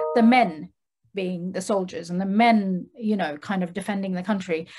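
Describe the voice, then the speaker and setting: Speech moves along at a moderate pace. Its tone is somewhat breathy. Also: woman. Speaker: dancer; guest. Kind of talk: panel discussion. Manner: hesitant. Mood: thoughtful, calm. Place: office. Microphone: video call.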